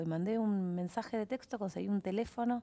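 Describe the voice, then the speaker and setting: The speaker is a woman. She talks with a Rioplatense accent. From Argentina. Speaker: actress. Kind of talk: casual chat. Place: studio. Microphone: headset.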